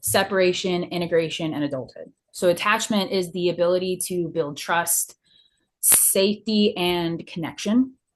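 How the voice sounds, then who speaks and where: A woman speaks with a normal speaking voice at a moderate pace. Her pitch is fairly low, with ordinary variation. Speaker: counseling student. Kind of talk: interview presentation on counseling theory.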